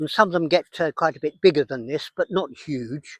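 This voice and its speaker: Lively intonation in a southern English accent, with a very clean recording, a silent background, and a dry, close sound with no echo. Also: man. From England. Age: 80s+. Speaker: wildlife conservationist. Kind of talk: outdoor nature walk explanation. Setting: outdoors.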